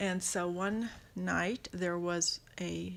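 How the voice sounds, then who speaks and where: A woman is heard here. The recording is very clean, with a silent background. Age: 60s. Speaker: grandmother interviewee. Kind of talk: casual interview.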